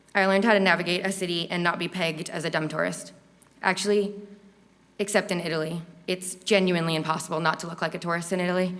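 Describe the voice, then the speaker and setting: With noticeable background noise behind her, a woman with an American accent speaks very fast in a fairly low, monotone, flat voice. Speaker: university student. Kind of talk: speech. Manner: stuttering.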